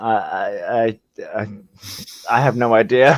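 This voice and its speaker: At a very slow pace, the voice moves through ordinary pitch variation. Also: man. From Birmingham, England. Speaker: live stream chat participant. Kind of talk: casual chat.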